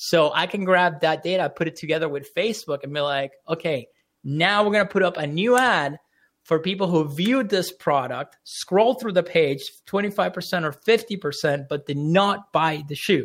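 A man speaks with an American accent in a high voice, at a moderate pace with ordinary pitch variation. The recording is very clean, with a silent background. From Orlando, Florida, US. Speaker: marketing entrepreneur. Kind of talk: radio interview. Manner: casual, conversational.

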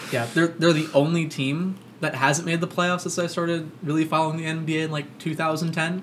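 Over noticeable background noise, a fairly high-pitched man with an American accent speaks in a monotone, flat intonation at a moderate pace, with hardly any pauses. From Florida, Orlando. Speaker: sports podcast host. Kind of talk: casual chat. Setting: studio, across the table from co-host.

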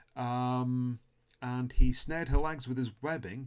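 At a moderate pace, a man uses a normal speaking voice with medium pitch and ordinary pitch variation. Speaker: podcast host. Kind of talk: casual chat. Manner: chatty, humorous.

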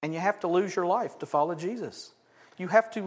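Reading aloud naturally, the speaker's pitch shifts in an ordinary way.

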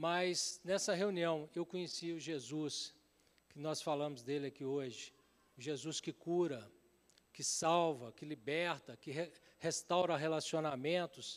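A man's fairly high, fairly even voice at a fairly slow pace, an ordinary speaking voice, in a very clean recording with a silent background. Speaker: pastor. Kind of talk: sermon with personal testimony. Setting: church service with congregation.

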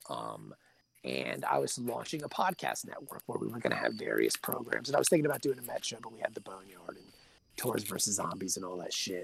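With an American accent, a man talks at a fairly quick pace, his loudness swinging widely. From Virginia Beach, Virginia, US. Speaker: comic book writer. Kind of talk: casual chat. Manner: unusual cadence today.

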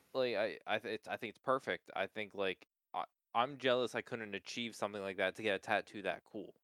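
With an American accent and an unremarkable speaking voice, a man at medium pitch talks at a fairly quick pace with fairly even intonation. The sound is dry and close, without echo. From Pennsylvania, US. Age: 20s. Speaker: podcast co-host. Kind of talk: casual chat.

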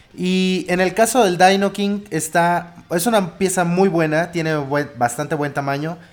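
The recording is very clean, with a silent background. A man speaks fairly slowly at a high pitch with ordinary pitch variation. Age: 30s. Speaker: podcast co-host. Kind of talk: casual chat. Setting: live internet radio broadcast.

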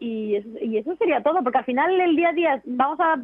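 A woman with a high pitch and a fairly quick pace. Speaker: professional golfer and TV presenter. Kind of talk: interview.

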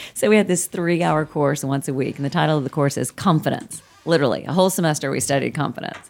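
There is music in the background as a woman talks at a very fast pace. Her pitch is very deep and low, with ordinary variation. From Oklahoma, Muskogee. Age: 50s. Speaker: sports psychologist. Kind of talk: interview.

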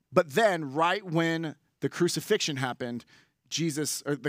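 A man with an American accent and a fairly high pitch, ordinary pitch variation and a moderate pace, on a very clean recording with a silent background. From San Francisco Bay Area, California. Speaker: pastor. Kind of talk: sermon. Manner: casual, hesitant with fillers.

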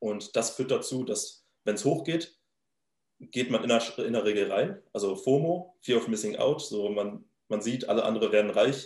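A man is speaking. His voice has a medium pitch. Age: 20s. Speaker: crypto trader and startup founder. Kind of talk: interview. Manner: halting, many filler sounds.

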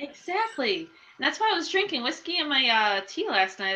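A woman's raised, projected voice with very wide pitch swings at a fairly quick pace. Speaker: podcast co-host and writer. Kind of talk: casual chat.

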